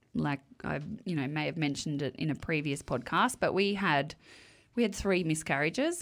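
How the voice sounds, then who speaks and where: This woman's voice is very deep and low in pitch, with lively intonation at a moderate pace. The recording is very clean, with a silent background. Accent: Australian. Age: 40s. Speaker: podcast co-host. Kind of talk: casual chat.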